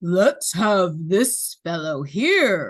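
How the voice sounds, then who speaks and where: A female-sounding voice at a middle pitch performs a put-on character voice. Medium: read story. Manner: hearty, warm.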